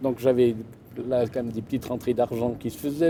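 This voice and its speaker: A man's voice at a medium pitch. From Gruyère region, Switzerland. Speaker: shepherd and storyteller. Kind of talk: interview answer. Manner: hesitant, conversational.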